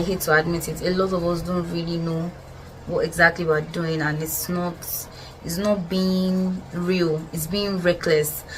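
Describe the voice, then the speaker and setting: Over music in the background and audible room echo, a woman speaks in a fairly low voice with monotone, flat intonation. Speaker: podcast host. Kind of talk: casual monologue. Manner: fast.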